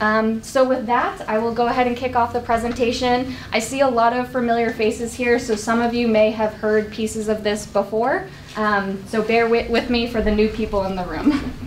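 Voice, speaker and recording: A woman talks at a moderate pace with hardly any pauses and fairly even intonation. Light background noise sits behind her. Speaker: presenter. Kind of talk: presentation to community meeting. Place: meeting room. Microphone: camera far.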